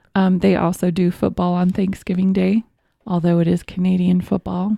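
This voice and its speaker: A woman with an American accent speaks at medium pitch in a dark, mellow, somewhat breathy tone. Her intonation is monotone and flat, and the sound is dry and close with no echo. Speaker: podcast co-host. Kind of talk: casual chat. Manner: casual, hesitant with fillers.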